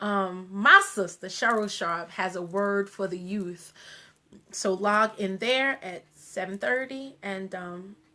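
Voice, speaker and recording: Speaking at a very slow pace, a woman with an American accent has a bright, sharp tone and ordinary pitch variation. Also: medium pitch for a woman, big swings in loudness. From US Northeast, Long Island (Wyandanch, New York). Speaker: radio show host. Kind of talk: casual live stream talk. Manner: many fillers, halting.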